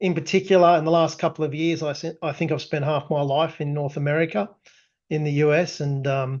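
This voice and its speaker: Fairly quick and fairly even in intonation, a man speaks with an Australian accent. His pitch is fairly high. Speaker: tech company founder presenting product. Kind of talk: webinar presentation. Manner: frequent fillers and restarts.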